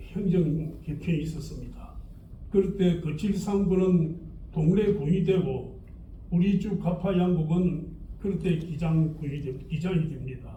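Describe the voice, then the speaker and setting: A man's high-pitched voice, very slow and fairly even in intonation, with audible room echo. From Gijang, Busan, South Korea. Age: 80s+. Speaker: local historian. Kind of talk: lecture.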